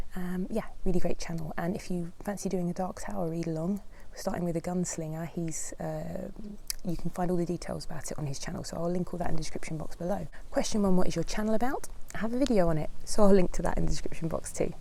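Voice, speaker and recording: Against noticeable background noise, a woman with a London accent talks at a very fast pace in a fairly low pitch, with ordinary pitch variation and big swings in loudness. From London, England. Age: 40s. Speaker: book vlogger, former primary school teacher. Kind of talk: casual vlog chat answering questions.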